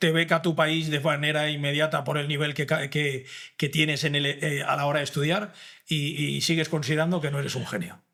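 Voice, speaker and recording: Fairly high-pitched and bright, sharp in tone, a man's voice moves at a fairly quick pace. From Valencia, Spain. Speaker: podcast host. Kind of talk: interview conversation. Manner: animated.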